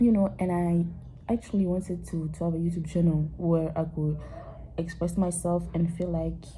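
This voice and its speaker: A woman speaks in a fairly low, somewhat breathy voice with monotone, flat intonation. Room echo is audible. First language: not English. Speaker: vlogger. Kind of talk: casual chat.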